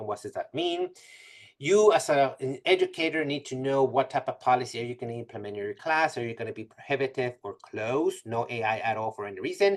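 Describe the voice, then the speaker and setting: Speaking at a very fast pace, a man uses lively intonation and big swings in loudness at a medium pitch. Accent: non-native. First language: not English. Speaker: math professor giving a presentation. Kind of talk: webinar presentation. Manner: many fillers and self-corrections.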